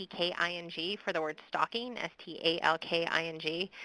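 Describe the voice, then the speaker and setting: A woman's medium-pitched voice with a Midwestern accent, bright and sharp in tone, in a dry, close sound with no echo. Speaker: victim services expert presenter. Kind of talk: webinar presentation with Q&A. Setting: online webinar.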